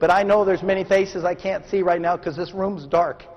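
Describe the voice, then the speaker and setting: Against noticeable background noise, a man with an American accent speaks at a high pitch. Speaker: motivational speaker. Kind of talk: keynote speech. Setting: stage with audience. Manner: animated.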